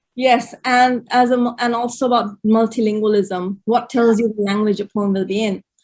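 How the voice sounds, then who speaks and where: Hardly pausing, a woman speaks at a moderate pace in a somewhat breathy, fairly high voice with flat, monotone intonation. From India, Gujarat. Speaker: poet. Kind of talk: interview conversation. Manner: halting, many repetitions.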